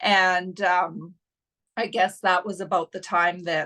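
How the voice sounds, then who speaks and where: Speaking very slowly at a medium pitch, a woman with a Canadian Prairies accent has a bright, sharp tone. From Saskatchewan, Canada. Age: 60s. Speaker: coaching client. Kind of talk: testimonial interview.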